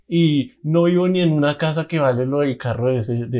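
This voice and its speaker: A man's dark, mellow tone carries ordinary pitch variation as he talks fairly quickly. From Colombia, Bogotá. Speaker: podcast co-host, musician. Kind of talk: casual chat.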